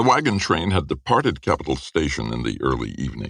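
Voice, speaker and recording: At a moderate pace, a man talks with vocal fry and ordinary pitch variation. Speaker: audiobook narrator. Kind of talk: audiobook fiction narration.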